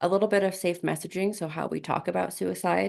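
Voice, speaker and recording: A woman speaks with an American accent in an ordinary speaking voice, her intonation fairly even against a quiet background. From US East Coast. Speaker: suicide prevention presenter. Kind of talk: presentation over video call.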